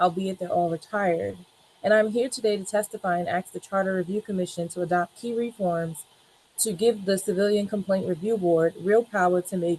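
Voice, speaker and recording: A plain, everyday voice: a woman at medium pitch, ordinary pitch variation, moderate pace, and a dry, close sound with no echo. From New York City, Brooklyn. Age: 20s. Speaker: paralegal testifying at hearing. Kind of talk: testimony.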